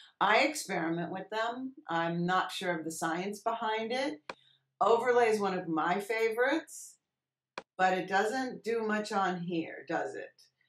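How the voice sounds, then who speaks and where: A woman with a normal speaking voice talks at a fairly slow pace and medium pitch, with ordinary pitch variation. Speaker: Photoshop teacher. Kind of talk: tutorial. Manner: casual, conversational.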